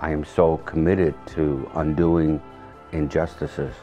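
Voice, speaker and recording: A man with a very deep, low pitch talks at a fairly slow pace. Faint music plays in the background. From Hungary. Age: 70s. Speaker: Holocaust survivor and lawyer. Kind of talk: personal testimony interview answer. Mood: solemn, emotional. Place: home room.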